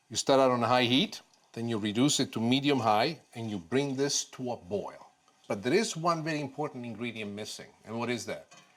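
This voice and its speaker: Here a man speaks in a Sicilian accent at a medium pitch. His pace is fairly quick. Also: ordinary pitch variation. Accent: Italian (Sicilian) accent in English. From Sicily, Palermo. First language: Italian. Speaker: TV chef. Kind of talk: cooking demonstration.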